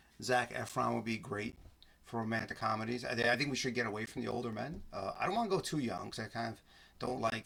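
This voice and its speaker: With vocal fry and a bright, sharp tone, a man at a medium pitch speaks at a fairly quick pace with ordinary pitch variation. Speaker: podcast host and film reviewer. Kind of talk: solo film review podcast. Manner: fast; halting, many repeated words.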